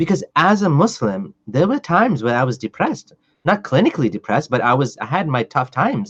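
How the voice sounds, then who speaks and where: Here a man's fairly high voice swings very widely in pitch and sounds somewhat breathy. He moves at a fairly quick pace, and the sound is dry and close with no echo. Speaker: podcast host. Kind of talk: casual podcast conversation.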